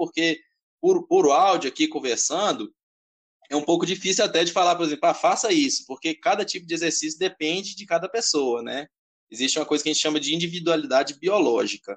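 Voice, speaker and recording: At a fairly quick pace, a man with high pitch talks in lively intonation. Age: 20s. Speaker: personal trainer. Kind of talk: interview.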